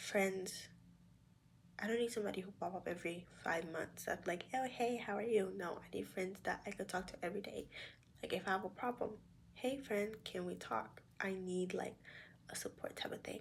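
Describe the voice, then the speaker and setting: A woman talks at a medium pitch with ordinary variation. Vocal fry runs through her voice. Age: young. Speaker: vlogger and sonography student. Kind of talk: casual talk to camera. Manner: candid, reflective.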